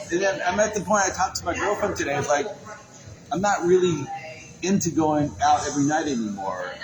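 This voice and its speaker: This man has a high pitch and lively intonation, speaking at a fairly quick pace. Audible room echo and noticeable background noise surround his voice. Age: 60s. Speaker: photographer and podcast host. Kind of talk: casual chat. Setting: in person at a venue.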